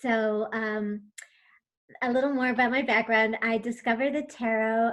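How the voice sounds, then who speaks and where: A woman's fairly high voice in an American accent, monotone and flat, against a quiet background. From USA, Spanish-speaking home. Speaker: tarot reader and coach. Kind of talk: interview.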